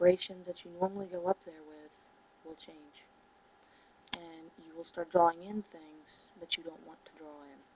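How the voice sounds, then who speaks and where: This soft-spoken woman has a fairly low pitch and a monotone, flat intonation. Her loudness swings widely. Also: moderate pace. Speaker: spiritual teacher and video blogger. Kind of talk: casual monologue to camera. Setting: at home, 4 a.m. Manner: soft-spoken, low volume; hesitant with many fillers.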